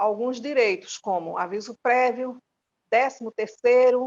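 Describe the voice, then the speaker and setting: A woman's high voice at a very slow pace, dry and close with no echo. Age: 60s. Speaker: domestic workers' union leader. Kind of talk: recorded course talk. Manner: halting.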